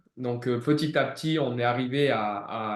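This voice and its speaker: Intonation stays fairly even as a man talks. The room echo is audible. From southeastern France, Ardèche/Drôme near Valence. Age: 30s. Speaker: gym manager and former fitness coach. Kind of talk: client testimonial interview. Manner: hesitant, many fillers.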